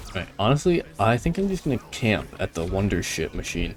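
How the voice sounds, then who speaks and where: A man's animated tone and lively intonation over music in the background. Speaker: gaming youtuber. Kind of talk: gameplay commentary. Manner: casual, animated.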